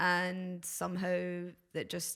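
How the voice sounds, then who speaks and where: In a Glaswegian accent, a woman speaks with a fairly low pitch. The recording is very clean, with a silent background. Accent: Glaswegian Scottish. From Scotland, Glasgow. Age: 30s. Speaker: DJ and visual artist. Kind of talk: casual podcast chat. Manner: hesitant, many fillers.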